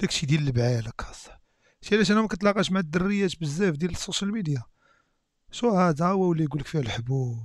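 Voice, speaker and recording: A man with a Moroccan accent talks at a very fast pace in a fairly high pitch, his tone animated. His pitch swings very widely, in a dry sound with no echo and a quiet background. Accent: Moroccan Darija. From Morocco. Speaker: YouTube reactor. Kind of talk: reaction video commentary. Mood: joking, amused. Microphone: headset.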